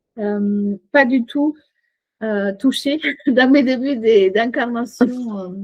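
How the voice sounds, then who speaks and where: Speaking very slowly, a woman uses a high pitch. Her pitch varies in an ordinary way. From Chile. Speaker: coach and shaman. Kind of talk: podcast interview. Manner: hesitant, many fillers.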